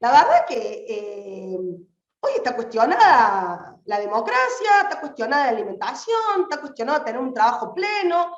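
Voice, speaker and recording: With audible echo in the room, a woman's voice swings very widely in pitch. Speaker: activist. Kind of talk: political speech. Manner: fast; animated.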